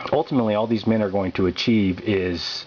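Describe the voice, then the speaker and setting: A man's fairly low, fairly even voice with an American accent, amid noticeable background noise. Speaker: political activist pamphleteer. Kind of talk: political monologue. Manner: fast; halting, repeats words.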